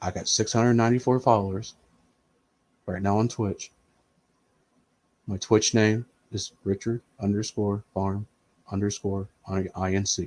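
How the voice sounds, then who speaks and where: A man with an American accent speaks in a fairly low pitch with monotone, flat intonation. His pace is fairly slow with long, frequent pauses, and the sound is dry and close with no echo. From US Midwest, Indiana. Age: 40s. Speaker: streamer. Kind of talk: casual live-stream chat.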